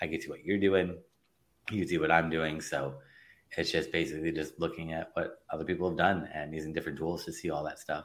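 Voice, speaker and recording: A man's very deep, low voice with a Californian accent, monotone and flat, at a very fast pace. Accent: Californian American. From Los Angeles, US. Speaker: digital marketing consultant. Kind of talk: interview.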